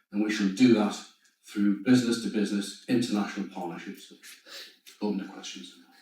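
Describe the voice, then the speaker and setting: With a Geordie accent, a man talks at a fairly quick pace and fairly low pitch, with ordinary pitch variation and audible room echo. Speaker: startup founder. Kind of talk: pitch and Q&A.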